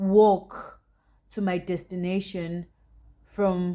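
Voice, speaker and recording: A woman of medium pitch with a South African accent. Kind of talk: storytime, casual talk to camera. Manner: lively, chatty.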